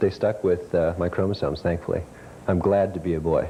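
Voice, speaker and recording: Very deep and low in pitch, a man talks at a fairly quick pace with fairly even intonation over noticeable background noise. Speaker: intersex guest on talk show. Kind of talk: talk show interview. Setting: TV studio with audience.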